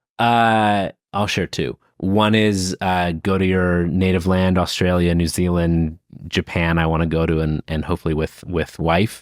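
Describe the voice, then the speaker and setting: A man with a very deep, low voice speaks at a fairly slow pace with fairly even intonation and very even loudness, the sound dry and close with no echo on a very clean recording with a silent background. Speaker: leadership author and speaker. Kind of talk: interview answers. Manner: halting with repetitions.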